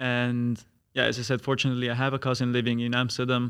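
With an Italian accent, this voice comes through on a very clean recording with a silent background. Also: man. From Italy. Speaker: master's student. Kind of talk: casual chat.

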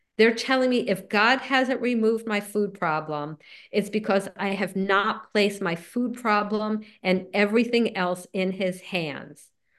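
Here a woman speaks with a New Jersey accent. Her pitch is medium and her pace fairly slow. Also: ordinary pitch variation. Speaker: recovery group speaker. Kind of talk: talk.

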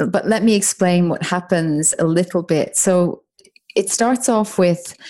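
A woman with an Irish accent, a dark, mellow tone and fairly low pitch, at a fairly slow pace. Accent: soft Irish. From Ireland, Dublin. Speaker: author and business mentor. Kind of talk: interview conversation.

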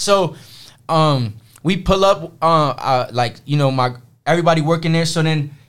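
A man with a New York accent speaks at a moderate pace with ordinary pitch variation. The recording is very clean, with a silent background. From Brooklyn, New York. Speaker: streetwear hat designer. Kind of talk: casual chat.

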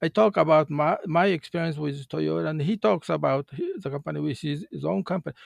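A man's fairly high pitch moves through very wide swings. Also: dry, close sound with no echo. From Japan, countryside. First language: Japanese. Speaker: retired car company manager. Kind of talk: interview. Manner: halting.

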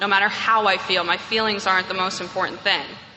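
A woman talks at a fairly quick pace in a medium pitch, with noticeable background noise. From New York. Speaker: AA speaker. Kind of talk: testimony. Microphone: echoey room.

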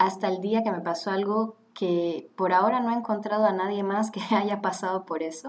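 Noticeable background noise beneath a woman's moderate pace and fairly even intonation. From Switzerland (Geneva, French-speaking), then Panama from 15. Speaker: graduate student. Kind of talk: casual chat.

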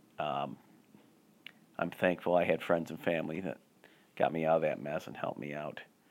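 Vocal fry runs through a fairly quick delivery with fairly even intonation. Long, frequent pauses and big swings in loudness break it up. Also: man, very deep, low pitch for a man. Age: 40s. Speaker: solo podcast host and comedian. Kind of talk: casual solo monologue and reviews. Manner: halting, many fillers and repeats.

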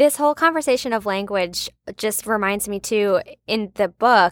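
In a plain, everyday voice, a woman speaks at a moderate pace with ordinary pitch variation. The recording is very clean, with a silent background and a dry, close sound with no echo. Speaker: book club podcast co-host. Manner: curious, conversational.

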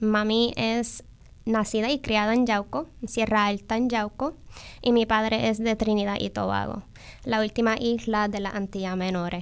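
A woman's plain, everyday voice at a fairly high pitch, with fairly even intonation, a fairly slow pace, and a very clean recording with a silent background. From New York, Bronx. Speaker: agroecology school coordinator. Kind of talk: interview.

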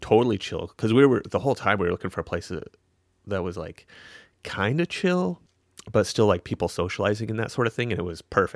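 Speaking at a very fast pace, a man has a fairly low pitch. The recording is very clean, with a silent background and a dry, close sound with no echo. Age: 40s. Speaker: podcast co-host, physician. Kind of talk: casual chat.

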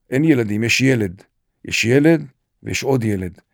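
On a very clean recording with a silent background, a man speaks at a fairly slow pace with ordinary pitch variation. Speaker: retired senior military officer, nonprofit director. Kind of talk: interview, personal testimony.

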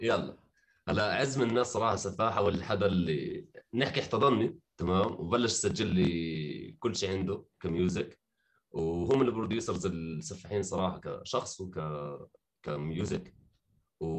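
The man's pitch is fairly low. He speaks at a fairly slow pace. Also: ordinary pitch variation. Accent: Jordanian. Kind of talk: casual chat.

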